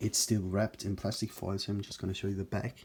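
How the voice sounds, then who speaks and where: A man with fairly low pitch, a somewhat breathy voice and monotone, flat intonation. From Germany. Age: 20s. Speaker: YouTuber, movie collector. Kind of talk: casual video talk. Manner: hesitant, filler words.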